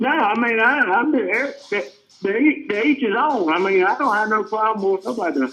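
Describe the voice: The tone is bright and sharp, at a moderate pace with ordinary pitch variation. Room echo is audible. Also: man, high pitch for a man.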